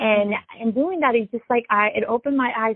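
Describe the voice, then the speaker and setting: A woman speaks with a Spanish accent. Her pitch is fairly high, with ordinary variation. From Latin America, immigrated to US. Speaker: musician, DJ and violinist. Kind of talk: interview.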